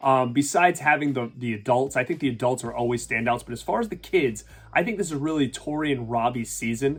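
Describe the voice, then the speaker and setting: A man's very fast speech with a Rhode Island accent. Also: medium pitch for a man, ordinary pitch variation. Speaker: YouTube reviewer. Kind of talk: casual talk to camera.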